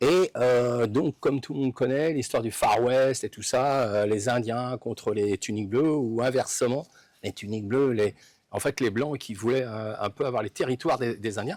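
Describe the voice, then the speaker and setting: A man talks at a moderate pace in a medium pitch with ordinary pitch variation, the sound dry and close with no echo on a very clean recording with a silent background. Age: 60s. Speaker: sports fan. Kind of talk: interview. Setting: outdoors. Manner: halting. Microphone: distorted, clipping audio.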